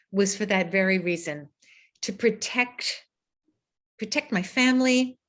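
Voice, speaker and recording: A woman with an American accent, a fairly slow pace and lively intonation against a quiet background. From United States. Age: 60s. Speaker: author. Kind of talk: book talk Q&A. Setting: video call. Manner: animated.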